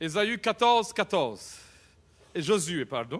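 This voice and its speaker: With a high pitch and very wide pitch swings, a man talks at a fairly slow pace. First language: not French (speaking French). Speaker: pastor. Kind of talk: sermon. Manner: animated.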